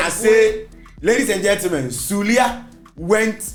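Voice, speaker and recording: A man talks while music plays in the background. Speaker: radio show host. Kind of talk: casual radio talk, banter.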